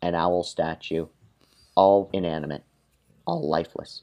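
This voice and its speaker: Fairly slow speech comes from a man. The tone sounds dark and mellow. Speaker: podcast co-host. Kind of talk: reading aloud a comedic fan-fiction story. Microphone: poor mic, sounds like talking through a shoebox on an old cell phone.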